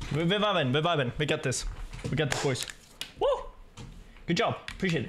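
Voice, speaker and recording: Against noticeable background noise, a man with a fairly high pitch speaks at a fairly quick pace but leaves long, frequent pauses. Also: ordinary pitch variation. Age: 20s. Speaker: gaming streamer. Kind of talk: casual live-stream chat while gaming. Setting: home streaming setup with microphone. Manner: animated. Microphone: studio mic.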